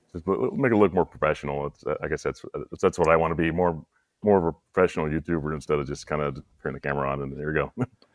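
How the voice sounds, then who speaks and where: Very fast and very deep, a man's low voice moves with ordinary pitch variation. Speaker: movie YouTuber. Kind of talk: casual chat. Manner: halting, repetitive.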